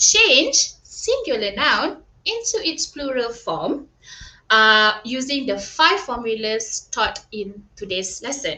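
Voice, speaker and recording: A woman's high, bright, sharp voice, raised and projected, at a very slow pace. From Malaysia, Kuala Lumpur. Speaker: primary school English teacher. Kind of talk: online tutoring lesson. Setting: live online stream. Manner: animated.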